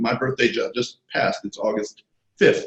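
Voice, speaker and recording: A man talks at a fairly quick pace with audible vocal fry. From New York City (Queens). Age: 60s. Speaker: screenwriter and comic book artist. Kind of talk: interview. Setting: video call.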